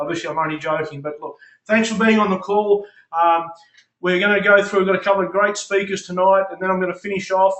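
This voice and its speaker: Here a man talks at a fairly quick pace with a high pitch. He has an Australian accent and fairly even intonation. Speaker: network marketing leader, call host. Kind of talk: conference call hosting. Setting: phone conference call.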